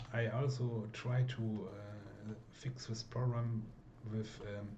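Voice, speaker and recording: Through audible room echo, a voice with a German accent speaks at a very slow pace in monotone, flat intonation. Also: man, medium pitch for a man. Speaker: mod creator and gameplay video maker. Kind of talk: casual gameplay commentary. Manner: halting, many fillers.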